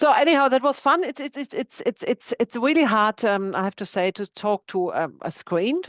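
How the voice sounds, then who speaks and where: With a German accent, a woman talks at a moderate pace and a high pitch, her pitch swinging very widely with hardly any pauses, in a dry, close sound with no echo. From Germany, countryside. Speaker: boat insurance agent. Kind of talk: webinar presentation.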